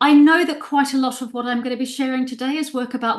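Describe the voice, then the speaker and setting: Talking at a very fast pace, a woman sounds animated. Her pitch sits high. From New Zealand. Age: 60s. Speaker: existential therapist and writer. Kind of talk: lecture. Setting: presentation to an audience.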